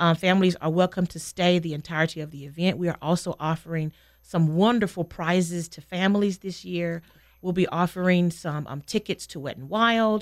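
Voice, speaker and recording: On a very clean recording with a silent background, a woman with an American accent and a plain, everyday voice speaks fairly quickly at a fairly low pitch, her intonation fairly even but her loudness swinging widely. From North Carolina (small town). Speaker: elementary school teacher. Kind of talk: radio interview.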